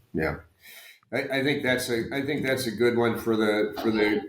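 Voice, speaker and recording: A man with an American accent, ordinary pitch variation and audible room echo. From US South. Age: 60s. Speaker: retired medical device executive. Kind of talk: podcast interview. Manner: halting, many fillers and repeats.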